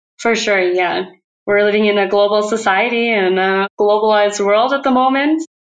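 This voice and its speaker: A woman in an American accent speaks at a moderate pace with a plain, everyday voice and ordinary pitch variation. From United States. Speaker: research scientist. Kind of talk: interview.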